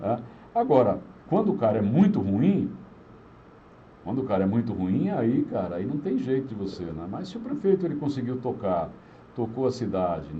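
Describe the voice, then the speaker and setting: A man speaks at a moderate pace with very wide pitch swings and long, frequent pauses. Audible room echo surrounds his voice. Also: medium pitch for a man. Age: 60s. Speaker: radio broadcaster and former city councillor. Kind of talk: casual interview.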